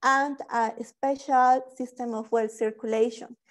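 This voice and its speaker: Against a quiet background, a woman speaks at a high pitch and a fairly slow pace. Her intonation stays fairly even. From Bolivia. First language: Spanish. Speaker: PhD student; speaker. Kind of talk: webinar presentation. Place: home room. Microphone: earbuds.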